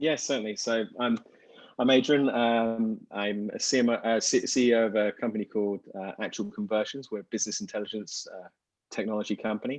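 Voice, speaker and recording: Over a quiet background, a man with a British accent talks at a fairly quick pace with fairly even intonation. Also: medium pitch for a man. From Britain. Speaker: business intelligence company CEO, panelist. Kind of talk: panel discussion.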